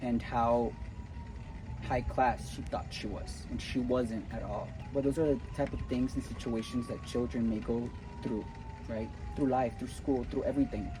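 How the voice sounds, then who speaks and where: Over noticeable background noise and audible room echo, a man speaks at a moderate pace with long, frequent pauses. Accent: slight Cuban. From Cuba. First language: Spanish. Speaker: spiritual motivational vlogger. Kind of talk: casual motivational talk to camera. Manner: animated.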